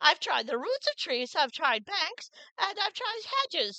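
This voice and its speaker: Using a put-on character voice, a woman speaks at an extremely high pitch with very wide pitch swings at a moderate pace, in a dry, close sound with no echo. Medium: read story. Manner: suspicious, complaining.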